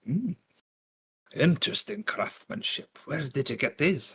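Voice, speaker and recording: In a put-on character voice, a man speaks raspily at a high pitch and a fairly slow pace with lively intonation. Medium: actual play. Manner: folksy, friendly.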